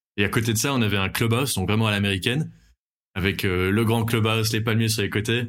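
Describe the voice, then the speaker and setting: A man talks very fast in a medium pitch, his intonation fairly even and his loudness very even. The recording is very clean, with a silent background. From Belgium. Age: 20s. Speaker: airline pilot. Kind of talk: casual interview chat. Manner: halting, many fillers and repetitions.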